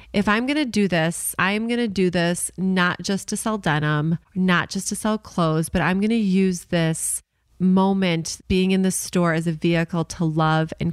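A woman with an American accent speaks in a normal speaking voice at a fairly low pitch and a moderate pace, with hardly any pauses. Her pitch variation is ordinary, her loudness very even, and the recording very clean with a silent background. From Chicago suburbs, US Midwest. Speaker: retail entrepreneur, co-founder. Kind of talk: casual interview.

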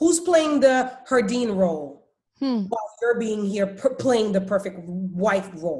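Speaking at a fairly slow pace, a woman uses a fairly high pitch that swings very widely. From Haiti. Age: 30s. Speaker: podcast guest. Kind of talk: casual interview chat.

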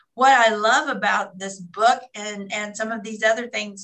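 A woman's normal speaking voice, fairly high in pitch, with fairly even intonation. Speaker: author.

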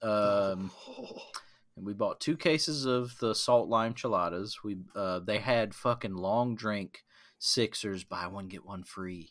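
Speaking very slowly with an American accent, a man with a fairly low pitch and ordinary pitch variation shows big swings in loudness. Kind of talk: casual banter.

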